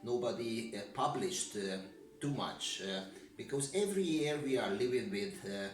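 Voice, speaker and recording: Over music in the background and audible room echo, a man with a Hungarian accent talks at a moderate pace at a medium pitch with very wide pitch swings. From Hungary. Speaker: security expert. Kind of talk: interview. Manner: halting, many fillers.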